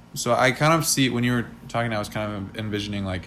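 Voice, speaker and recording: A man's fairly low-pitched voice comes through with audible room echo. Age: 20s. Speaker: podcast co-host and aspiring musician. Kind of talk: casual chat. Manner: frequent filler words.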